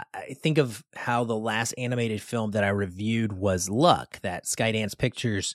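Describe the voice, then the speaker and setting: In a plain, everyday voice, a man speaks at a fairly low pitch and moderate pace with fairly even intonation, the sound dry and close with no echo on a very clean recording with a silent background. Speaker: film review podcast host. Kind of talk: film review chat.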